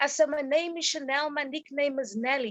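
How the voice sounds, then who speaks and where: A woman with a high voice speaks at a moderate tempo. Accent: Cape Town. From Cape Town, South Africa.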